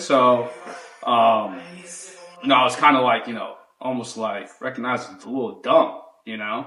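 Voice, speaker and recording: A man speaks at a fairly quick pace. Music plays in the background and the room echo is audible. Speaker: podcast host. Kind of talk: casual chat.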